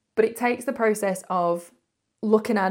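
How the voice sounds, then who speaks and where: A woman in a northern English accent, on a very clean recording with a silent background. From northern England. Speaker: podcast host. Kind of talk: casual monologue.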